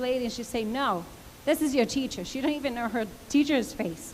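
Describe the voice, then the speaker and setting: Audible room echo surrounds a woman speaking fairly quickly at a high pitch, with ordinary pitch variation. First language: not English. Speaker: parent speaking at public comment. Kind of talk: public comment at board meeting. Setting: auditorium meeting with audience. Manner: halting.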